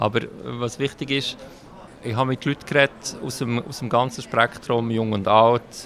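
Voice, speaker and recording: A man's medium-pitched, monotone, flat delivery at a very slow pace, with noticeable background noise. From Switzerland, Bern (Bümpliz), Hungarian parents. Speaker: city councillor and politician. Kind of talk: interview. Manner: frequent hesitations.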